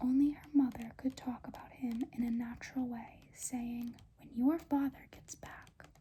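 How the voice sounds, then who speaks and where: Soft-spoken and high-pitched, a woman talks at a fairly slow pace with a dark, mellow tone and monotone, flat intonation. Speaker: ASMR creator. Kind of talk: audiobook-style reading aloud, ASMR.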